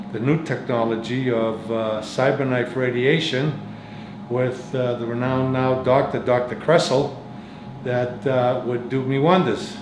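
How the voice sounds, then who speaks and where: Fairly slow male speech in a room with audible echo and noticeable background noise. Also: medium pitch for a man, fairly even intonation. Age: 70s. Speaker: cancer patient. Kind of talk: testimony. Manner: halting.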